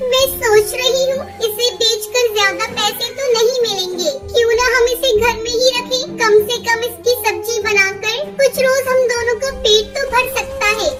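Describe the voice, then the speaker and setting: In a cartoonish character voice, a female-sounding speaker goes extremely high in pitch at a moderate pace, with clear music in the background. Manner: polite, addresses husband respectfully.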